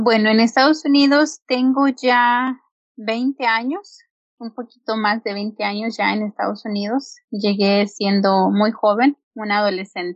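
A woman's fairly high voice with ordinary pitch variation, an ordinary speaking voice. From Mexico, rural Hidalgo. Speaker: entrepreneur and homemaker. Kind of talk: interview.

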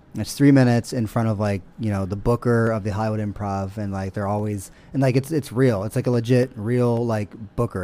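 Speaking at a fairly quick pace with an American accent, a man uses a fairly low pitch, fairly even intonation and a dark, mellow tone. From Columbus, Ohio. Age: 30s. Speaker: comedian. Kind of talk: casual chat.

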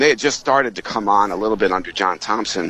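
A bright, sharp tone at a fairly quick pace, with ordinary pitch variation. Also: man. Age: 50s. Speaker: sportswriter and author. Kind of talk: radio interview about his book.

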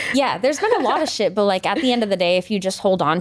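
Over noticeable background noise, a woman with an American accent speaks very fast at a medium pitch, her intonation lively. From rural Maine, US. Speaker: R&B pop singer-songwriter. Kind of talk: casual interview chat. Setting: studio.

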